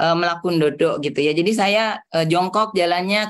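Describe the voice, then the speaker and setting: This woman's voice sits fairly low in pitch. Her pitch variation is ordinary. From Jakarta and Bandung, Javanese family from Solo. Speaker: trainer, hypnotherapy and network marketing coach. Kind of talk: online training session. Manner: animated.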